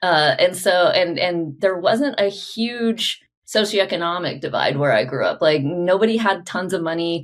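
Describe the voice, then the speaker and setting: In an American accent, a woman of medium pitch speaks at a moderate pace with lively intonation and hardly any pauses, in an ordinary speaking voice. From Oklahoma, US. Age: 40s. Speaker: podcast host and business coach. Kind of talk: interview (being interviewed on own podcast). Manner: casual, chatty.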